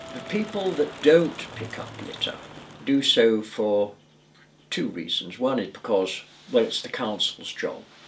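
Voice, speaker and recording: This man's pitch swings very widely as noticeable background noise runs underneath. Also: medium pitch for a man. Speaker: retired volunteer litter picker. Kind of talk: interview answer.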